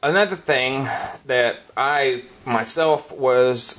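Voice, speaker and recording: Amid noticeable background noise, a man's voice shows ordinary pitch variation. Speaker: podcast host. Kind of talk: casual banter chat. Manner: animated, joking.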